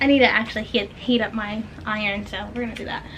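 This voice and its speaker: Noticeable background noise can be heard. Over it, the talking moves fairly quickly. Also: woman. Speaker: small business owner and vlogger. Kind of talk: casual vlog talk to camera. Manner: fast; chatty, rambling.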